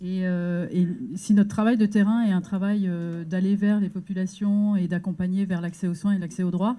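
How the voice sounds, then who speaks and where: Recorded very cleanly against a silent background, a woman speaks at a moderate pace in a medium-pitched, somewhat breathy voice with a dark, mellow tone and monotone, flat intonation. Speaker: NGO advocacy worker. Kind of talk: round-table presentation. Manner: hesitant, many fillers.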